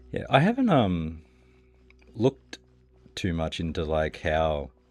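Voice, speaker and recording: At a fairly slow pace, a man talks with a very deep, low pitch and ordinary pitch variation. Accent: Australian. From Australia. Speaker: video game streamer. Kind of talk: casual chat while gaming. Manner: casual, hesitant with many fillers. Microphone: new mic stand, mic at proper distance.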